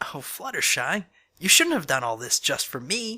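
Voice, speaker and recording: In a put-on character voice, the speaker uses a middle pitch with very wide swings and a moderate pace. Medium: read story. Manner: brash, confrontational.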